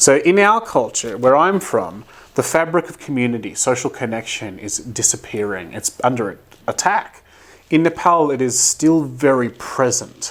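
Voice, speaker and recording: A man with an Australian accent speaks at a moderate pace. His pitch swings very widely. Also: medium pitch for a man. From Australia, Brisbane, Queensland. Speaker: development organisation director. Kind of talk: interview.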